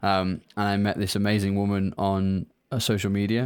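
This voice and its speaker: The recording is very clean, with a silent background. A man with a British accent speaks at a fairly low pitch. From UK. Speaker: company founder. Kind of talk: casual interview chat.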